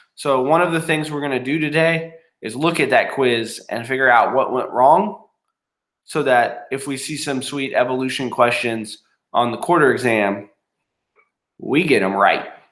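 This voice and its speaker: A man speaks at a moderate pace with a fairly high pitch and ordinary pitch variation. Room echo can be heard. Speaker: middle school science teacher. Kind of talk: classroom tutorial. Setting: recording from home. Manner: casual, many filler ums.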